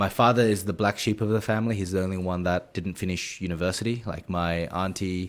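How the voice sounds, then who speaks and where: A very deep, low male voice in an Australian accent, fairly quick with hardly any pauses and fairly even intonation, on a very clean recording with a silent background. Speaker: esports coach. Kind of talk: interview. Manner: halting.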